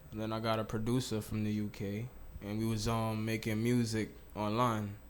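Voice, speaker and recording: Audible room echo carries a man's voice at a fairly low pitch. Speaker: rapper. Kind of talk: casual interview.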